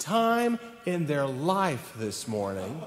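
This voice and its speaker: A man with a Southern US accent speaks at a very slow pace, with light background noise and audible room echo. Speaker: church minister. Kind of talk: welcome address. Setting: church. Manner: animated. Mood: warm, cheerful. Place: church. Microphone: podium.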